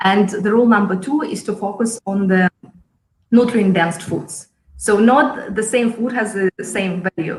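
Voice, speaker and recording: Speaking fairly slowly with a Russian accent, a woman uses a medium pitch and ordinary pitch variation. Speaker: chef and cooking school founder. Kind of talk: interview.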